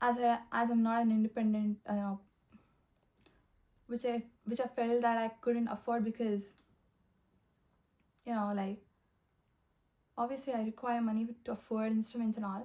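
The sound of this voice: Speaking at a moderate pace with long, frequent pauses, a woman has a fairly high pitch, a dark, mellow tone and little pitch movement.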